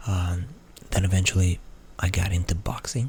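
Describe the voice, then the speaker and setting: A man talks at a moderate pace. His pitch is very deep and low. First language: Portuguese. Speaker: ASMR creator. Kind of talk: ASMR Q&A. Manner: soft-spoken; halting.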